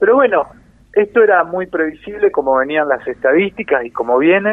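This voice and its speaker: In a Rioplatense accent, a man speaks at a moderate pace. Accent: Argentine Spanish (rioplatense). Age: 50s. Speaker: musician, saxophonist. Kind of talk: radio interview.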